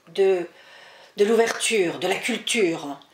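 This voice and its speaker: A woman at medium pitch, speaking very slowly, with audible room echo. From France, daughter of Spanish immigrants. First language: Spanish (speaking French). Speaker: author and historian. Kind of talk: interview.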